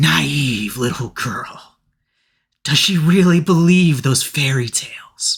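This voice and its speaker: A man uses a put-on character voice with hissing at a fairly high pitch. He speaks at a fairly slow pace. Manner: sinister.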